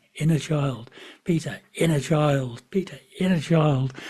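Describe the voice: In a put-on character voice, a man uses a fairly high pitch with an Irish accent, ordinary pitch variation and a fairly slow pace.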